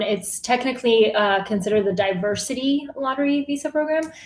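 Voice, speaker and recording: A woman speaks with an American accent. Her pace is moderate and her pitch variation ordinary. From Bulgaria, moved to US at 8 or 9. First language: Bulgarian. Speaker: newsletter writer, journalist. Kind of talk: casual interview chat.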